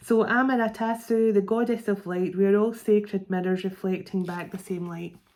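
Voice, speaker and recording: A woman with a Scottish accent speaks at a moderate pace and a medium pitch. Her tone is dark and mellow, and her intonation is fairly even. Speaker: psychic tarot reader. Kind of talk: tarot card reading. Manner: halting, stumbling over words.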